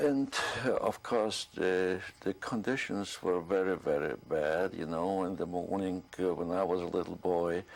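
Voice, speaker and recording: A man with a very deep, low pitch speaks with ordinary pitch variation. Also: fairly slow pace. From Poland. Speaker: Holocaust survivor. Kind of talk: oral history interview. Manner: halting, many fillers.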